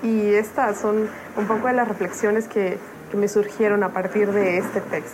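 Amid noticeable background noise, a woman of medium pitch speaks at a moderate pace in a monotone, flat intonation with very even loudness. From Oaxaca, Mexico. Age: 20s. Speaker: devotional writer. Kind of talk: devotional reflection.

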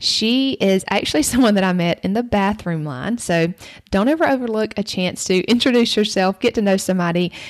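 Speaking at a fairly quick pace, a woman keeps her loudness very even. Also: medium pitch for a woman, lively intonation. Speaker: podcast host. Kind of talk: casual interview chat.

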